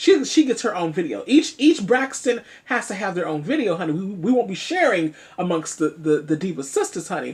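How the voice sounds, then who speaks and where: The delivery comes at a fairly quick pace with very wide pitch swings. The voice is somewhat breathy. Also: woman. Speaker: online commentary vlogger. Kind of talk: casual vlog commentary. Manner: animated, chatty.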